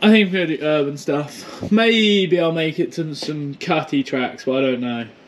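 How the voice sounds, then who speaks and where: Over light background noise, a man speaks with very wide pitch swings. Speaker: e-bike vlogger. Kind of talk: casual vlog chat. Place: home room. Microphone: phone near.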